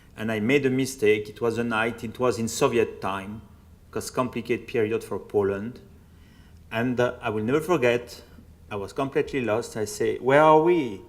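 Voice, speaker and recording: Audible room echo surrounds a man with a French accent who speaks at medium pitch and a moderate pace, with ordinary pitch variation. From France, Burgundy. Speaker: priest and Holocaust researcher. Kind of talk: public lecture.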